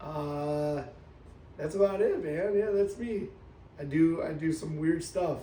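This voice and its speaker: A man with an American accent talks very slowly, with long, frequent pauses. Audible room echo surrounds his voice. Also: ordinary pitch variation. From US Midwest, Cleveland, Ohio. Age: 20s. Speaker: magician. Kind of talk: casual chat. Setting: in person at his coffee shop.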